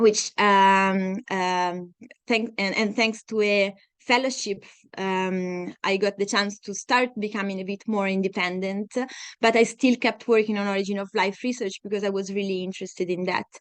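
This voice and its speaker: Against a quiet background, a woman with an Italian accent talks at a moderate pace and medium pitch in a monotone, flat intonation. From Italy, Tuscany (Siena). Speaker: scientist. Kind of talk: lecture. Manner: halting, many fillers.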